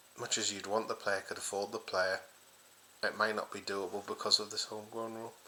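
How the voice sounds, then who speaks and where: A man speaks quietly amid noticeable background noise. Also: fairly quick pace. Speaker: football fan channel host. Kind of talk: casual solo vlog. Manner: speaking quietly.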